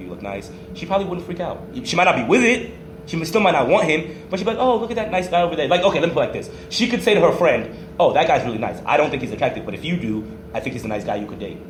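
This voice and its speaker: A man with a high voice talks very fast, with very wide pitch swings and big swings in loudness. Room echo is audible and background noise is noticeable. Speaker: podcast host. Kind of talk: casual chat.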